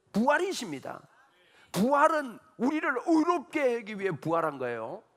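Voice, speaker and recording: Extremely high-pitched and animated, a man with a Gyeongsang accent speaks at a moderate pace with very wide pitch swings. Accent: Gyeongsang dialect, noticeable. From Gyeongsang region, South Korea. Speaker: pastor. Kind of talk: sermon.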